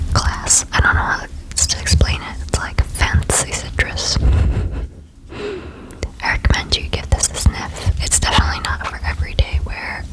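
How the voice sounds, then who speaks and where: Whispering fairly slowly, a woman can be heard through noticeable background noise. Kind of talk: ASMR whisper video. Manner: whispered, soft, relaxing.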